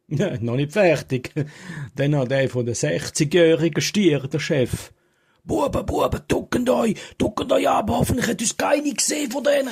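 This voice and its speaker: A moderate pace and very wide pitch swings, in a Graubünden accent. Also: man, fairly high pitch for a man. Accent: Swiss German, Graubünden dialect. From Falera, Graubünden, Switzerland. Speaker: joke teller. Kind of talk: humorous joke telling to camera. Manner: humorous, casual.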